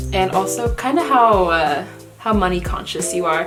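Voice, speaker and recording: Backed by music, a woman talks at a moderate pace. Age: young. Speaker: college student. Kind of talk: casual vlog talk to camera.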